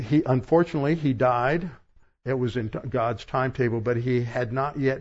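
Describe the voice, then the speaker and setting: Fairly even intonation marks this man's somewhat breathy voice. He speaks at a medium pitch and moderate pace. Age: 70s. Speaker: pastor. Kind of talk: sermon. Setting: church.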